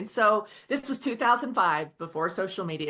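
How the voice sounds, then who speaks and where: A woman with a slight Oklahoma accent speaks at a moderate pace and a medium pitch. Noticeable background noise can be heard. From Oklahoma, Osage County. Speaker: author. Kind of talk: podcast interview.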